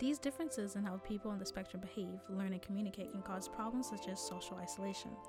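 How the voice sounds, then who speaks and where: Music plays in the background as a woman talks at a very fast pace. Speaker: animation student. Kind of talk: educational animation narration.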